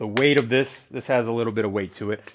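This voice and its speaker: Ordinary pitch variation shapes a man's medium-pitched voice. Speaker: cabinet painter. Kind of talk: tutorial. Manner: calm, soft-spoken; hesitant with fillers.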